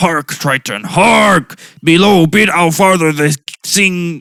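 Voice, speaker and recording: In a put-on character voice, the speaker sounds raspy at a middle pitch and talks at a fairly slow pace. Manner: grandiose, declamatory.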